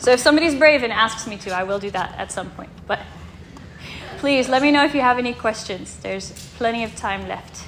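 A woman's fairly high voice at a fairly quick pace, with ordinary pitch variation, big swings in loudness and noticeable background noise. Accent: American. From Kansas, US. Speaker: missionary. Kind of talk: presentation to church congregation. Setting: church sanctuary with audience and slides. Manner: clear and distinct.

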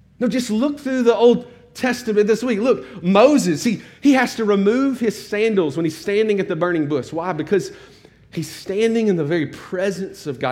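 Swinging very widely in pitch from a high register, a man speaks at a moderate pace with audible room echo. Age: 40s. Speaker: pastor. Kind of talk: sermon.

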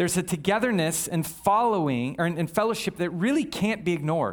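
High pitch from a man, varying in an ordinary way. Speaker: pastor. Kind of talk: sermon. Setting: church. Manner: fast.

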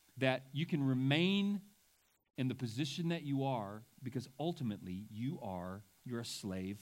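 A man with a normal speaking voice, fairly high in pitch, at a fairly slow pace. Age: 40s. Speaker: pastor. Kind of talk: sermon.

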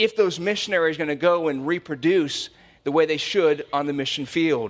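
A man with a high-pitched voice speaks in an American accent. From US Midwest, Cincinnati area. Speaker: pastor. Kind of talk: sermon. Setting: church.

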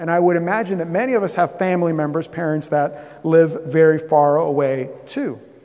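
There's noticeable background noise and audible room echo. A man with an American accent talks at a fairly quick pace and a high pitch. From US South, Southeast Florida. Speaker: pastor. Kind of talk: sermon.

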